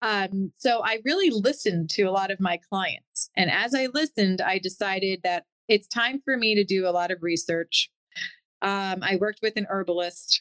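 A woman speaks at a moderate pace with ordinary pitch variation in an unremarkable speaking voice. The sound is dry and close, with no echo. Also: medium pitch for a woman. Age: 40s. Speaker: wellness center owner and esthetician. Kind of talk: interview.

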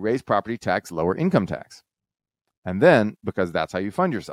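A man with an American accent has an ordinary speaking voice, fairly low in pitch, moving at a fairly quick pace. The recording is very clean, with a silent background. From Texas. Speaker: economist. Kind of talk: casual chat.

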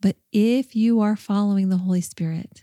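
A woman of medium pitch speaks at a moderate pace in a calm, relaxed, dark and mellow tone, with fairly even intonation and a dry, close sound with no echo. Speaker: podcast host and life coach. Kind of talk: solo faith teaching podcast. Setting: studio recording.

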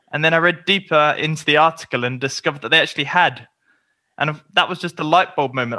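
On a very clean recording with a silent background, a man talks at a fairly quick pace in a fairly high pitch with a bright, sharp tone. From England. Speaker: touring cyclist and author. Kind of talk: casual interview chat.

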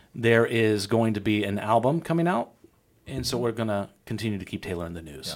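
A man speaks at a fairly quick pace in a fairly low pitch, with lively intonation. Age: 30s. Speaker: TV news anchor and podcast host. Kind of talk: casual chat; scripted sign-off. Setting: studio. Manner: animated.

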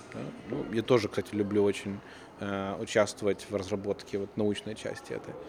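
Noticeable background noise sits under speech at a moderate pace in a flat monotone. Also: man, fairly low pitch for a man. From Odesa, Ukraine; moved to the US as a child. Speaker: company founder. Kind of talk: interview. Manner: hesitant, with filler sounds.

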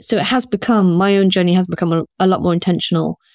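With a southern English accent, a woman at medium pitch speaks fairly quickly and with fairly even intonation. The recording is very clean and dry, close-sounding, with no echo and a silent background. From southern England, rural Oxfordshire; teens in Singapore. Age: 50s. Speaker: school founder and director. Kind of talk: casual interview.

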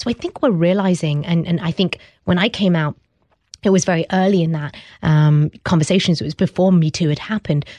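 The speaker has a British accent and a dark, mellow tone, with ordinary pitch variation at a fairly quick pace. The sound is dry and close, with no echo. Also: woman, fairly low pitch for a woman. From England, British Pakistani. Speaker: entrepreneur. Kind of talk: interview. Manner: hesitant, many fillers.

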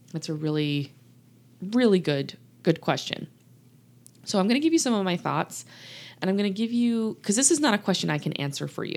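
With an American accent, a woman talks at a moderate pace in a warm tone and lively intonation, recorded very cleanly with a silent background. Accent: Southern US, slight and shifting. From Louisiana, US South. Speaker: podcast host and coach for people leaving narcissists. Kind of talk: solo podcast monologue, coaching talk. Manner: warm, conversational.

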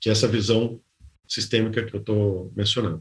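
His delivery comes at a fairly quick clip. There is a somewhat breathy quality to this man's voice. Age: 50s. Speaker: business executive, board member. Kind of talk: interview.

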